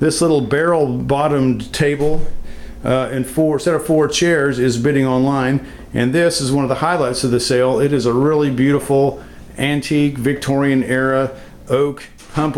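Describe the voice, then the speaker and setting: Fairly high pitch for a man, fairly even intonation and very even loudness, with noticeable background noise. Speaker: estate sale company owner. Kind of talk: video walkthrough tour. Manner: fast.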